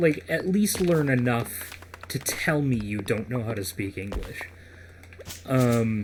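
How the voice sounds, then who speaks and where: A man speaks very slowly with lively intonation, pausing long and often. Background noise is noticeable. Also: medium pitch for a man. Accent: American. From United States. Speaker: gaming podcast host. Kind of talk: casual chat.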